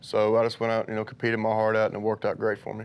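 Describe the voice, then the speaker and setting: A man in an Appalachian Kentucky accent, very fast pace, monotone and flat intonation. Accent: noticeable Appalachian Kentucky. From eastern Kentucky. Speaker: college football player. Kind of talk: interview. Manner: many filler words.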